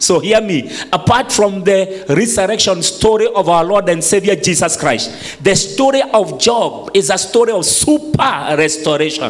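Moving at a moderate pace, the man speaks with lively intonation. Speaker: preacher. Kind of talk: sermon. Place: church. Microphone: handheld.

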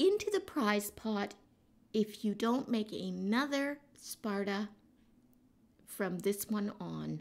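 A woman at a very slow pace, with long, frequent pauses. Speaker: vlogger. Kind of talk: casual vlog banter, playful rant about film festival rules. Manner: animated; laughing, teasing. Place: home room.

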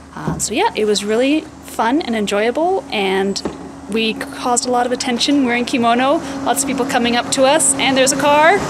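Noticeable background noise fills the clip. Over it, a woman talks at a moderate pace. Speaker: travel vlogger. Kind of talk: casual vlog chat. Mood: cheerful, enthusiastic. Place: street. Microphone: phone near.

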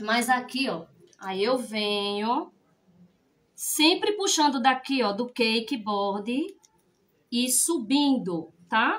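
A woman with a high voice uses lively intonation. She speaks at a very slow pace with long, frequent pauses. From Pernambuco, Brazil. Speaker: cake decorator. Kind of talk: live cake decorating class. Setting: livestream. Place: kitchen. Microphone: phone near.

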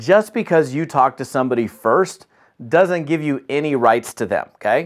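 Lively intonation from a man at a moderate pace, over a quiet background. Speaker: business trainer. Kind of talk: training talk to camera. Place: home room.

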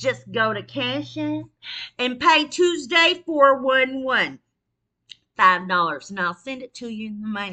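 A woman speaks in a raised, projected voice with a high pitch and a bright, sharp tone. Her pitch swings very widely over a quiet background. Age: 50s. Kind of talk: casual livestream monologue. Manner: animated, frequent laughter. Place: kitchen. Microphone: webcam.

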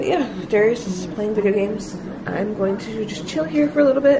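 A woman talks at a fairly quick pace with ordinary pitch variation. Noticeable background noise runs under her voice. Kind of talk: casual vlog chat. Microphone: phone near.

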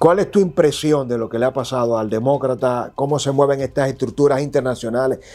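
Speaking at a fairly quick pace with hardly any pauses, a man uses a dark, mellow, medium-pitched voice with ordinary pitch variation. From Dominican Republic. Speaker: political commentator and digital journalist; political commentator, digital journalist. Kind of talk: interview. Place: studio. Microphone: lapel.

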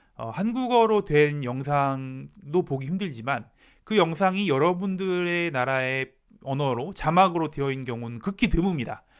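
Lively intonation carries the voice at a moderate pace over a quiet background. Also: man. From South Korea. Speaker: Korean language teacher. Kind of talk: tutorial. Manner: formal. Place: home room. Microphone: handheld.

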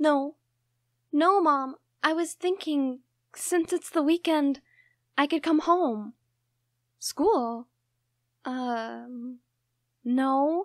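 A woman in a put-on character voice at a high pitch with ordinary pitch variation, very slow pace and long, frequent pauses, dry and close with no echo, in a very clean recording with a silent background.

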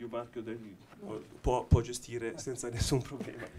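Somewhat breathy, a man speaks very slowly at medium pitch with fairly even intonation over noticeable background noise. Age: middle-aged. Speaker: watch brand technology executive; panelist. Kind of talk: panel discussion. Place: hall. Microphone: handheld.

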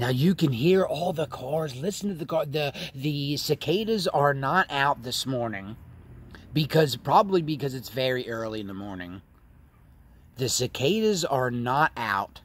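A somewhat breathy man's voice at a fairly slow pace, with lively intonation and a dry sound with no echo. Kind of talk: casual vlog commentary. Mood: enthusiastic, admiring. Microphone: phone near.

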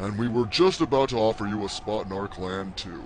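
A man's fairly low voice at a fairly quick pace over clear background noise. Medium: machinima. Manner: stiff, overly formal.

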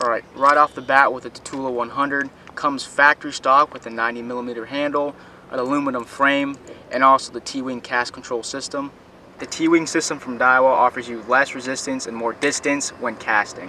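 A man talks at a moderate pace with monotone, flat intonation. Light background noise sits under a dry sound with no echo. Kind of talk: product review tutorial. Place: boat.

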